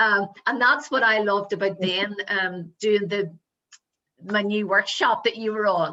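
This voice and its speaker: A woman's bright, sharp voice in a Northern Irish accent, medium in pitch, at a fairly slow pace with fairly even intonation. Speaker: motivational coach and show host. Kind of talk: casual chat.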